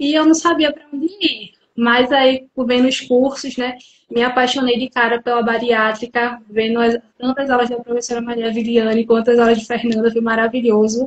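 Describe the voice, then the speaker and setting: A woman speaks at a high pitch and a moderate pace in a northeastern Brazilian accent. Her intonation is fairly even. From interior of Pernambuco, Brazil (Carpina). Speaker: psychologist. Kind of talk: live interview. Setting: online live stream.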